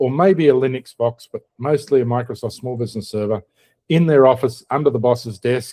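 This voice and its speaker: A man with an Australian accent speaks fairly quickly in a dark, mellow tone at a medium pitch with ordinary pitch variation. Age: old. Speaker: podcast host. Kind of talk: casual chat.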